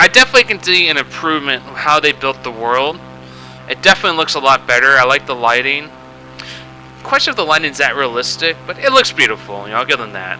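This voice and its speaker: A man at a very fast pace, with big swings in loudness and music in the background. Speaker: gamer. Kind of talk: casual gameplay commentary. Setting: home microphone, slightly loud.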